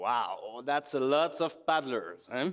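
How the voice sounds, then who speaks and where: A man with a Quebec accent, fairly slow, with ordinary pitch variation, on a very clean recording with a silent background. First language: French. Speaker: expedition photographer. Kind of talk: conference presentation.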